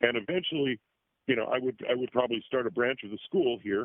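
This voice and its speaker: The pitch of this man's voice sits in the middle of his range. It shifts in an ordinary way. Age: 60s. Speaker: former esoteric school student and teacher. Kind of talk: interview. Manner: halting.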